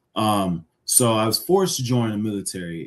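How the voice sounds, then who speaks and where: The background is quiet as a man talks at a moderate pace. He has a fairly low pitch with ordinary pitch variation. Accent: American. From Jamaica, Kingston. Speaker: Navy veteran and cybersecurity architect. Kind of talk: podcast interview.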